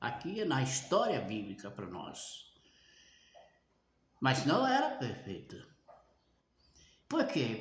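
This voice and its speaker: A man talks at a very slow pace, with audible room echo in the recording. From Brazil. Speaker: preacher. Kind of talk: sermon.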